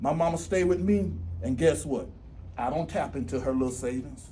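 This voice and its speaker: The voice has a dark, mellow tone with vocal fry. It moves at a fairly quick pace amid audible room echo. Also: man. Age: 60s. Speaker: school district executive director. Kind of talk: motivational speech. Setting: graduation ceremony with audience. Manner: animated.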